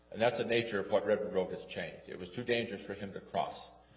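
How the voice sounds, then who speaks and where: A man races along at a very fast pace, his words carrying audible room echo. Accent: American. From West Jordan, Utah. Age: 70s. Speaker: resident speaking at public hearing. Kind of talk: public comment at city council. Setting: city council meeting. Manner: halting.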